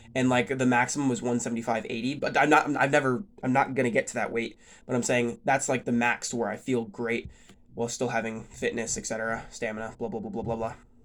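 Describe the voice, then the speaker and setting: Words pour out of a man at a very fast pace. Fairly even intonation marks his delivery. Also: medium pitch for a man. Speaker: fitness vlogger. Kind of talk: casual vlog talk. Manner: rambling, many fillers.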